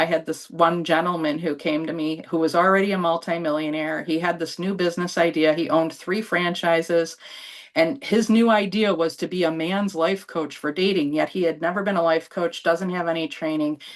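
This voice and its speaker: A woman with a New York accent speaks in a fairly low voice. She moves at a fairly quick pace with hardly any pauses. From New York state (Buffalo). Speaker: business coach and spiritual channeler. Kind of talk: interview on a live online show. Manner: animated.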